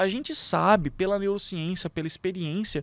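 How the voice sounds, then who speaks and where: The intonation is lively, and the sound is dry and close with no echo. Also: man. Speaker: public speaking coach and lawyer. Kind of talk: podcast interview. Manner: animated, gesticulating.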